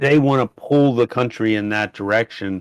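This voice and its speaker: Against a quiet background, a man with an American accent talks at a moderate pace in a plain, everyday voice with ordinary pitch variation and a dry, close sound with no echo. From United States. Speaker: housing project founder. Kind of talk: casual podcast conversation.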